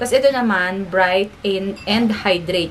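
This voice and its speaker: With audible room echo and noticeable background noise, a woman at a medium pitch speaks at a very slow pace. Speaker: beauty and family vlogger. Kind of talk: product unboxing review. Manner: animated.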